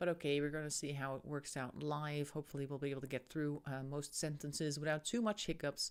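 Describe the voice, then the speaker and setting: A woman's very deep, low voice at a very fast pace, with fairly even intonation and hardly any pauses. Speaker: tarot reader streamer. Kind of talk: live stream tarot reading chat. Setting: live stream. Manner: stumbling over words.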